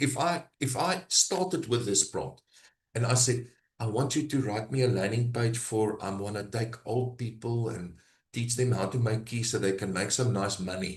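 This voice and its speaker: In a South African accent, a man speaks at a medium pitch and a moderate pace, somewhat breathy, his pitch varying in an ordinary way. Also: quiet background. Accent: South African (Brakpan). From South Africa, Gauteng (East Rand). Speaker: AI business trainer. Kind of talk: live workshop demo. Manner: halting.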